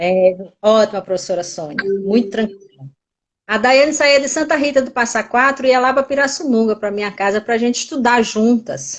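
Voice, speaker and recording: Her pitch fairly high, a woman talks at a moderate pace. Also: lively intonation. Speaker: teacher. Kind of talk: interview. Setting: live stream. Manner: energetic.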